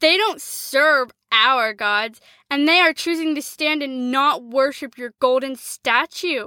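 Very slowly, a woman with a high pitch and a bright, sharp tone speaks in a raised, projected voice. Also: ordinary pitch variation. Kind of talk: character voice, sycophantic tattletale. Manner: whiny, groveling, exaggerated.

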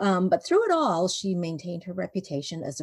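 A woman speaks with a Canadian accent, her voice somewhat breathy. The sound is dry and close, with no echo. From Vancouver, Canada. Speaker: children's book author. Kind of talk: interview. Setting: video call.

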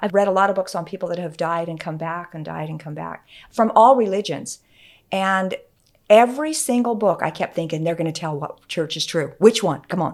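A woman with an American accent, fairly low pitch, ordinary pitch variation and a fairly quick pace, in a very clean recording with a silent background. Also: big swings in loudness. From Utah. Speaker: former church member, host's mother. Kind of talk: casual chat.

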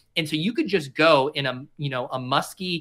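The tone is bright and sharp, in a General American accent. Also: man. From Denver, Colorado. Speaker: fantasy sports content creator. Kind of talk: casual chat.

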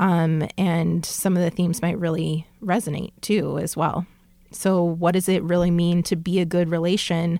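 A woman with an American accent, fairly low in pitch and dark, mellow in tone, monotone and flat at a moderate pace, with very even loudness on a very clean recording with a silent background. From Southern California. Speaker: podcast co-host, professor. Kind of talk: casual chat.

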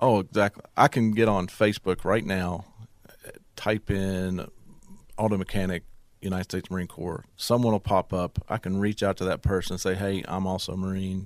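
A man's very deep, low voice in an Appalachian Virginia accent, flat and monotone at a moderate pace, on a very clean recording with a silent background and a dry, close sound with no echo. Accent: Southern US (Appalachian Virginia). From southwest Virginia, US. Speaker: business owner, Marine veteran. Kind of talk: interview.

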